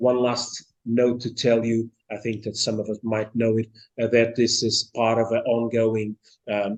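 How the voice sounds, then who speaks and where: The man's medium-pitched delivery is fairly slow, his intonation monotone and flat. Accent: Portuguese. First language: Portuguese. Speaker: seminar chair introducing speaker. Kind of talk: formal introduction. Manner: halting, many fillers.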